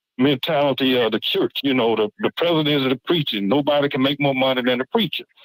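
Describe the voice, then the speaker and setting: A man talks at a very fast pace, his pitch fairly high for a man. His loudness stays very even, with hardly any pauses. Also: ordinary pitch variation. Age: 60s. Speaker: HBCU alumnus and football supporter. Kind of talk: casual chat. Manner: halting, many repeated words.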